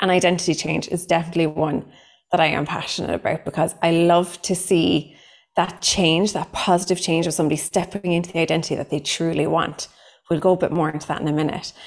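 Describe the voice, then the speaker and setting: A woman's very fast, fairly low-pitched speech in a strong Cork accent, monotone and flat. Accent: thick Cork. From Ireland, Cork. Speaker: psychotherapist giving a training. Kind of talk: online training workshop.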